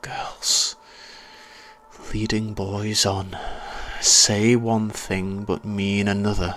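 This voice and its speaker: A man's growling, put-on character voice, fairly low in pitch, monotone and flat, very slow, with long, frequent pauses. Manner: snarling, growling.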